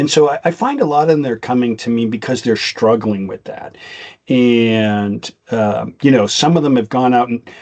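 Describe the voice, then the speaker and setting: A man with a Boston accent at a moderate pace. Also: medium pitch for a man, ordinary pitch variation. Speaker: podcast co-host, IT business consultant. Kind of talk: casual chat. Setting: podcast recording. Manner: rambling with frequent restarts.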